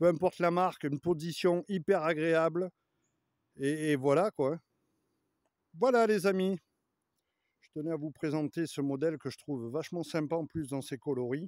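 Against a quiet background, a man talks at a moderate pace with ordinary pitch variation, big swings in loudness and long, frequent pauses, the sound dry with no echo. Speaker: motorbike vlogger. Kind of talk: casual vlog chat. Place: forest. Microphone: phone near.

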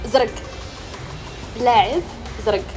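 Clear music plays in the background. A woman with a Moroccan accent speaks at a very slow pace. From Morocco. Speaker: challenge host. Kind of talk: casual game-show banter. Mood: playful, teasing.

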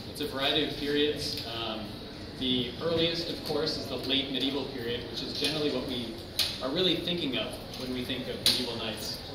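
Someone talks at a fairly quick pace amid loud background noise and audible room echo. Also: man. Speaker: exhibition guide. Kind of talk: guided tour explanation. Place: hall. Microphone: camera far.

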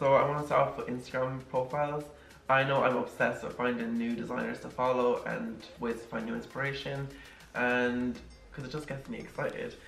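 Faint music plays in the background as a man talks at a fairly quick pace, with audible room echo. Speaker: interior design vlogger. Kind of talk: casual vlog chat. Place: home room.

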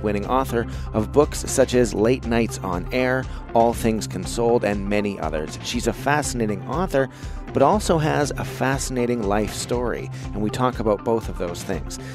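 A man speaks at a moderate pace with a medium pitch. Music plays in the background. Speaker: podcast host. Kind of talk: podcast intro.

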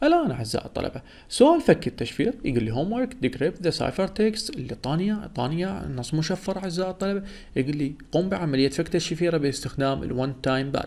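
A man with a high voice talks at a fairly quick pace, his pitch swinging very widely. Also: hardly any pauses. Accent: Iraqi. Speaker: educational YouTuber teaching cryptography. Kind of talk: lecture.

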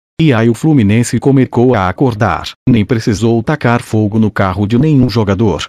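Dark and mellow in tone, a man's medium-pitched voice runs at a moderate pace with hardly any pauses, ordinary pitch variation and very even loudness, the sound dry and close with no echo. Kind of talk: sports commentary, a fan's recap of a match, profane and partisan.

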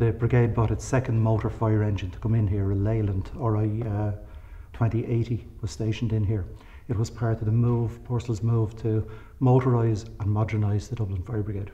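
This voice has a dark, mellow tone, somewhat breathy and fairly even in intonation, moving at a moderate pace. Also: man, fairly low pitch for a man. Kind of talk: interview answer. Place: hall.

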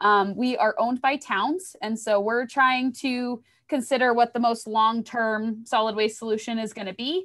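Against a quiet background, a woman talks in an ordinary speaking voice at a moderate pace, fairly high in pitch with ordinary pitch variation and hardly any pauses. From Maine, US. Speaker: environmental educator. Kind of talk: educational presentation. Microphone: webcam.

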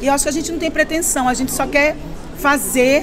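Faint music plays behind a woman who speaks at a high pitch with fairly even intonation. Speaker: actress at premiere. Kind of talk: interview answer. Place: hall. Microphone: handheld.

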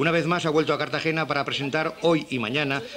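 Fairly quick talking from a man, noticeable background noise behind him. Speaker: TV news reporter. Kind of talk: local TV news narration.

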